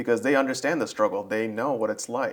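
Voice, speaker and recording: A man with a normal speaking voice and an American accent talks at a medium pitch with fairly even intonation. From US, Georgia. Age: 30s. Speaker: podcast host. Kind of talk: interview.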